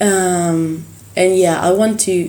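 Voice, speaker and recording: Over audible room echo, a woman with an Argentine accent speaks very slowly in a fairly low, dark, mellow voice with monotone, flat intonation. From Argentina, Buenos Aires. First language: Spanish. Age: 20s. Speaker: singer. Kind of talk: casual interview. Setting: hotel room. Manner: halting; passionate.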